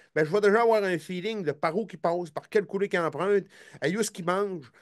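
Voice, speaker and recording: Speaking very fast in an animated tone, a man with a Quebec accent is heard over a quiet background. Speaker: hunting show host. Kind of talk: casual chat. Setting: live stream.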